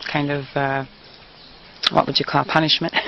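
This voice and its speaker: Beneath noticeable background noise, a woman with a very deep, low voice keeps her intonation fairly even. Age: 50s. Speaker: interviewee. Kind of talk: interview.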